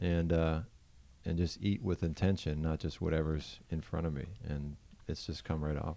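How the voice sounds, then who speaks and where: A man speaks at a fairly quick pace, his very deep, low voice carrying a dark, mellow tone. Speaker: podcast host. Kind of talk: casual chat.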